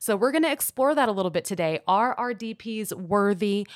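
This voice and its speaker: A plain, everyday voice speaks at a moderate pace with an American accent. The recording is very clean, with a silent background. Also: woman. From Houston, Texas. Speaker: soccer podcast co-host. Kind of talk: casual chat.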